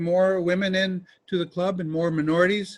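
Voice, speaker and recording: A man's voice, high in pitch. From California. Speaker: club president. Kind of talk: meeting announcements. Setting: video call.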